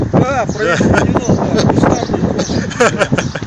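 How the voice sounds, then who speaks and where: A man talks through noticeable background noise. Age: old. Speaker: street vendor of fishing tackle. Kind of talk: interview answer. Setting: outdoors.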